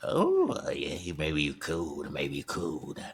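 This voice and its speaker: A man uses a put-on character voice. His pace is fairly slow. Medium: game stream. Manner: cagey, playful.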